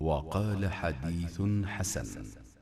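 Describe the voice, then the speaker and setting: Quiet and somewhat breathy, a man talks in a calm, dark, mellow tone with ordinary pitch variation. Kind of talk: religious hadith reading. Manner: calm, quiet.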